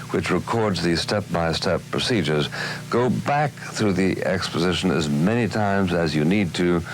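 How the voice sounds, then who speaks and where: Over noticeable background noise, a speaker with an American accent talks at a moderate pace with lively intonation and very even loudness. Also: man, very deep, low pitch for a man. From United States. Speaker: author and TV commentator. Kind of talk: instructional narration.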